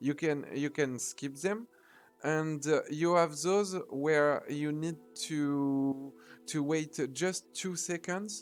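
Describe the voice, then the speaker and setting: With music in the background, a man with a fairly high pitch speaks at a very slow pace and with fairly even intonation. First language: not English. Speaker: video game speedrunner. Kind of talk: tutorial. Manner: halting, many fillers.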